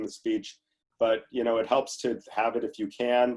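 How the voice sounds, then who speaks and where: A man with an ordinary speaking voice and a medium pitch talks at a fairly quick pace. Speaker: family law attorney, seminar presenter. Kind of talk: legal webinar lecture.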